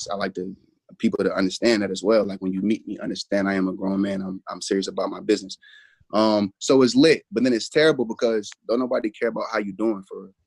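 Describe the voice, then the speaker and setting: A man's very fast speech, dry with no echo, against a quiet background. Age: 20s. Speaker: battle rapper. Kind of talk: casual chat. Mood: serious, earnest. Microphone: video call.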